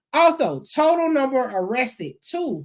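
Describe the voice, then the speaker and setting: A woman speaks with very wide pitch swings. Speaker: YouTube commentator on court records. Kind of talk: commentary reading court documents.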